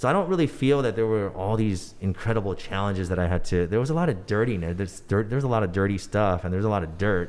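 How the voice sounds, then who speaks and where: A very fast, animated man's voice, fairly low-pitched, with a Californian accent. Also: ordinary pitch variation, hardly any pauses. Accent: Californian American English. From Los Angeles, San Fernando Valley. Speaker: former pop singer and news anchor turned entrepreneur. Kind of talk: podcast interview. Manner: casual, animated.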